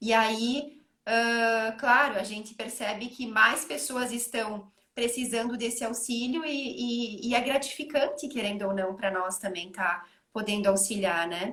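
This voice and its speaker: Bright and sharp in tone, a woman speaks at a fairly high pitch. She has a southern Brazilian accent. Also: ordinary pitch variation, fairly slow pace. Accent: gaúcho (southern Brazilian). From Rio Grande do Sul, Brazil. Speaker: psychologist. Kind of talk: online panel conversation. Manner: hesitant, many fillers.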